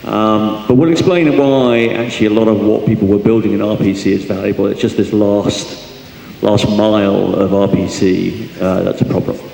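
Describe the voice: Amid audible room echo, a voice with vocal fry and a dark, mellow tone speaks with fairly even intonation. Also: man, fairly low pitch for a man, moderate pace.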